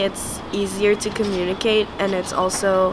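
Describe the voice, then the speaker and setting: Speaking in a monotone with a French accent, a woman at a medium pitch is heard through audible room echo and noticeable background noise. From France. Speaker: art student. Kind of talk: casual personal reflection. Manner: hesitant, many fillers.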